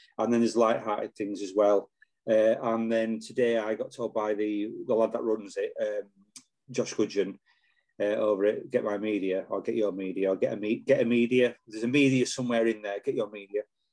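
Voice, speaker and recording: A man's medium-pitched voice in a Yorkshire accent, monotone and flat. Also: fairly quick pace. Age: 40s. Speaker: retired police officer. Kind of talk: casual chat.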